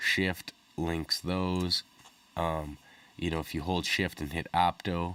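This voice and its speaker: The man's very deep, low voice stays monotone and flat throughout. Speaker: music producer reviewing audio plugins. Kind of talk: tutorial. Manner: casual with frequent fillers.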